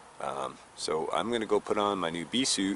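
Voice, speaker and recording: Against light background noise, a man's voice comes through dry, with no echo. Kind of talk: casual vlog chat. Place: garden.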